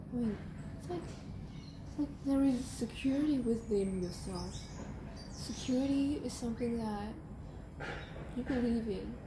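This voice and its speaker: Noticeable background noise sits behind a woman with a fairly high pitch. She speaks fairly slowly with long, frequent pauses and ordinary pitch variation. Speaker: tarot reader. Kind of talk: tarot reading. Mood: calm, reflective. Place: garden. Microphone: camera far.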